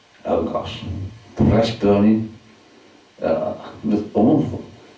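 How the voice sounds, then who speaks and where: The speaker is a man with a fairly low pitch. There is noticeable background noise. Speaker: solicitor and storyteller. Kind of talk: spoken word storytelling to a live audience. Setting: live venue with audience.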